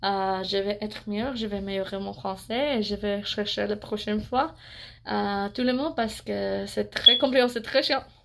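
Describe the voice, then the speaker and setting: With an English accent and a bright, sharp tone, a woman speaks at medium pitch and a moderate pace on a very clean recording with a silent background. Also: ordinary pitch variation. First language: English (speaking French). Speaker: beauty vlogger. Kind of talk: product review vlog. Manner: halting, many hesitations.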